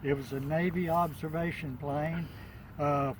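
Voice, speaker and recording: Talking at a very slow pace, a man uses a fairly high pitch with ordinary pitch variation. Audible room echo surrounds his voice. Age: 80s+. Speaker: model airplane hobbyist. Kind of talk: casual video introduction. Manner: halting, many fillers.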